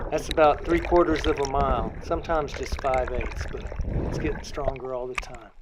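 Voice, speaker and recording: A man talks at a fairly quick pace, and noticeable background noise runs underneath. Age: 60s. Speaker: artist and cyclist with muscular dystrophy. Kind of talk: personal storytelling monologue. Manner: animated.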